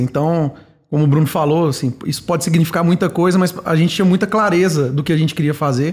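A man talks fairly quickly and at a fairly high pitch, with ordinary pitch variation and an ordinary speaking voice. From Minas Gerais, Brazil (Belo Horizonte). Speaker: product manager. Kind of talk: podcast interview. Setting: company office.

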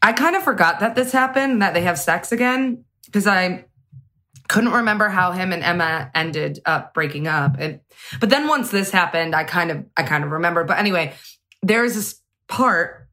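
Lively intonation marks this woman's plain, everyday voice at medium pitch. She keeps a moderate pace. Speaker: podcast co-host. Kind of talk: casual chat.

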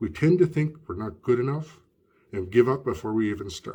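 In a very clean recording with a silent background, a man of medium pitch talks at a moderate pace with lively intonation and a dark, mellow, somewhat breathy tone. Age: 50s. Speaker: podcast host. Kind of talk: reading aloud.

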